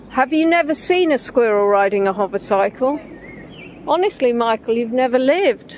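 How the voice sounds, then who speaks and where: A woman with an English accent, high-pitched, with very wide pitch swings and very even loudness. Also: moderate pace. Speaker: livestreamer on walks. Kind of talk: casual live-stream chat. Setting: outdoors by a river. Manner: chatty, conversational.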